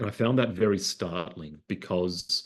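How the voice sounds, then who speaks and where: A man with a very deep, low pitch and an Australian accent. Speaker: psychiatrist and researcher. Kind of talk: talk to an online audience. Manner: hesitant, many fillers and repeated words.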